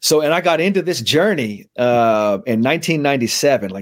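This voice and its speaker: A man with an American accent makes very wide pitch swings in a very clean recording with a silent background. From San Francisco, California (Bernal Heights). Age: 40s. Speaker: mental skills trainer for athletes. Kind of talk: casual interview chat; guided meditation.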